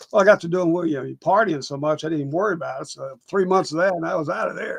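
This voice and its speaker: Speaking at a very fast pace, a man with a Texan accent talks at a high pitch. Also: ordinary pitch variation. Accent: Texan Southern US. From East Texas. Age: 70s. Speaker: actor. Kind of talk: casual interview.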